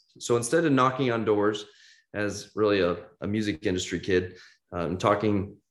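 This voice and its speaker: With a Midwestern American accent, a man speaks at a moderate pace and a fairly low pitch. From US Midwest, Kansas City. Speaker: entrepreneur. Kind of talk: interview.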